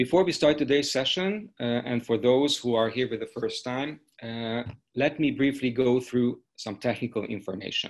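A man talks at a moderate pace. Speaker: webinar host. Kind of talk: webinar housekeeping announcement. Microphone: video call.

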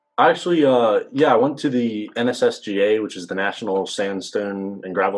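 With an American accent, a man uses an unremarkable speaking voice, fairly low in pitch, at a moderate pace against a quiet background. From Virginia. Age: 20s. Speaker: undergraduate mining engineering student. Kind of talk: Q&A panel at a virtual open house. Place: home room. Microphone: video call.

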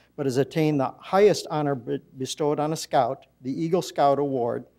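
Against a quiet background, a man's dark, mellow voice moves at a moderate pace with fairly even intonation. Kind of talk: formal proclamation reading. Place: hall. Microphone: podium.

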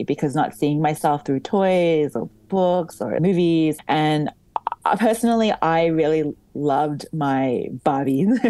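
Speaking with an Australian accent, a woman uses a very deep, low pitch and lively intonation at a fairly slow pace. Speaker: doll company founder and wedding photographer. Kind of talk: interview.

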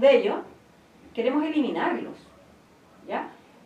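In a room with audible echo, a woman speaks at a high pitch. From Chile, Santiago; Chile. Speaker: activist; interview guest. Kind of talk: interview; interview answer. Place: studio.

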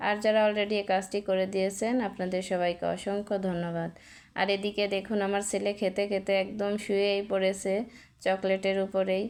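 Heard on a very clean recording with a silent background, a woman speaks at medium pitch in a monotone, flat intonation with very even loudness. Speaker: vlogger, mother of two. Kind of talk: casual vlog narration.

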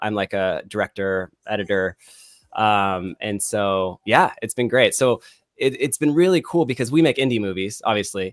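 A man with a Californian accent speaks at a moderate pace in a fairly low voice with lively intonation. The sound is dry with no echo, over a quiet background. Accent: Californian American. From California, Bay Area (Vacaville). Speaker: filmmaker, director and editor; guest. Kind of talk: casual chat. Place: home room. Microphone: studio mic.

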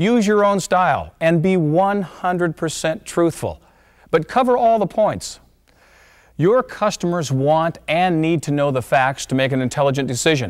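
Against a quiet background, a man speaks at a high pitch and a moderate pace. His intonation is lively. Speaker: presenter. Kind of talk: promotional presentation. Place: studio.

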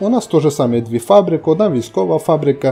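A man with a Transcarpathian accent talks at a very fast pace. His pitch swings very widely, and music plays in the background. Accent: Transcarpathian Ukrainian dialect. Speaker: gaming video host. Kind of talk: game commentary ranking video.

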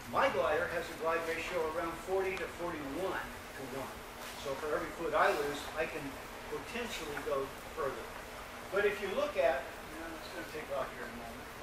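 Over noticeable background noise and audible room echo, a man talks at a moderate pace. His pitch varies in an ordinary way. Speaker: presenter. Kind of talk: lecture. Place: hall. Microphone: camera far.

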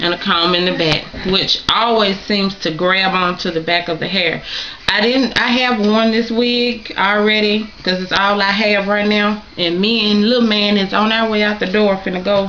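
A woman speaks at a moderate pace with fairly even intonation and very even loudness over light background noise. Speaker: wig reviewer. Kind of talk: casual vlog chat. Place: home room. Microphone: webcam.

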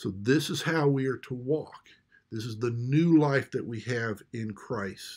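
The background is quiet as a man speaks at a fairly slow pace. His pitch varies in an ordinary way. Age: 50s. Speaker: pastor. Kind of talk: sermon. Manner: halting. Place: home room. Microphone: webcam.

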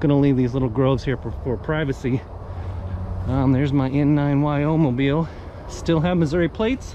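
A man's voice with ordinary pitch variation at a moderate pace, dry with no echo, over light background noise. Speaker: radio hobbyist. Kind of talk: casual vlog chat. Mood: relaxed, pleased. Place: garden. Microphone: phone near.

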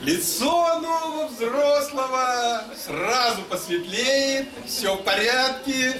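A man speaks in a raised, projected voice at an extremely high pitch. Clear music plays in the background. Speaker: literary reader and musician. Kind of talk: short story reading aloud. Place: hall. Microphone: camera far.

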